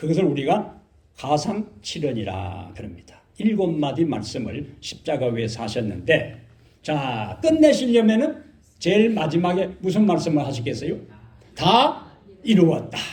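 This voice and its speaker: A man with a Gyeongsang accent speaks at a fairly slow pace and fairly high pitch, with very wide pitch swings, vocal fry, and audible room echo. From Korea, Gyeongsang region. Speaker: pastor. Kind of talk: sermon. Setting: church.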